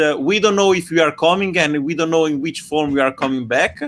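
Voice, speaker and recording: A man talks with a strong Italian accent. His pitch varies in an ordinary way. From Italy. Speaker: online science event host. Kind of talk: casual live stream sign-off. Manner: hesitant, many fillers.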